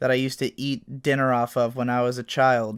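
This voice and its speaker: On a very clean recording with a silent background, a man at medium pitch speaks in monotone, flat intonation with a dry, close sound with no echo. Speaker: YouTuber and video essayist. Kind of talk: monologue to camera. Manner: slow; serious.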